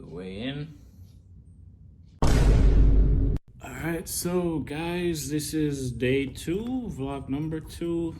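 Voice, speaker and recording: A man speaks with lively intonation. Noticeable background noise and audible room echo surround him. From Jamaica. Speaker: fitness vlogger. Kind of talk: casual vlog narration.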